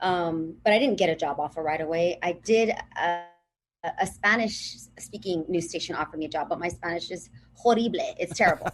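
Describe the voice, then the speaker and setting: In a Southern California accent, a woman talks at a fairly quick pace with a fairly low pitch and ordinary pitch variation. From Los Angeles (Pico Rivera), Southern California. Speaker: TV and radio broadcaster. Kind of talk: podcast interview.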